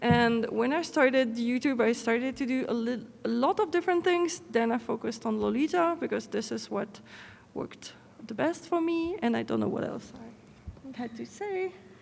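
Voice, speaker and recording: A woman with a non-native accent speaks in a high pitch with lively intonation. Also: moderate pace. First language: not English. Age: 30s. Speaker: fashion brand owner and content creator. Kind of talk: conference panel talk.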